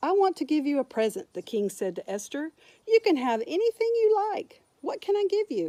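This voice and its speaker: A woman puts on a squeaky character voice at an extremely high pitch, with very wide pitch swings. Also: moderate pace. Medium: read story.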